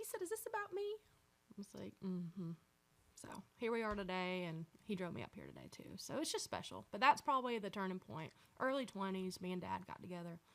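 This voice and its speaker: At a fairly quick pace broken by long, frequent pauses, a woman with a Southern accent shows big swings in loudness. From US South, North Georgia. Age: 20s. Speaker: country singer-songwriter. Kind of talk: casual chat.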